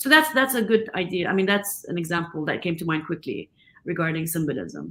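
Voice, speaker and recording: With an Arabic accent, a woman speaks at a fairly quick pace and a fairly low pitch. Her tone is bright and sharp, and her pitch variation is ordinary. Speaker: film director. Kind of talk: interview conversation.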